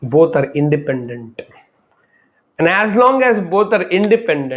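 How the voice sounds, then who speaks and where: A man with an Indian accent speaks at a fairly slow pace in a high pitch, his pitch swinging very widely. Music plays in the background. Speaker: spiritual speaker. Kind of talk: talk on love and life. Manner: unscripted, reflective.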